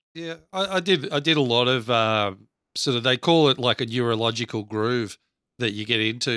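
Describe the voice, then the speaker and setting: On a very clean recording with a silent background and a dry, close sound with no echo, a man with an Australian accent speaks at a moderate pace and medium pitch, with ordinary pitch variation and a bright, sharp tone. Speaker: podcast co-host. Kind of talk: casual chat.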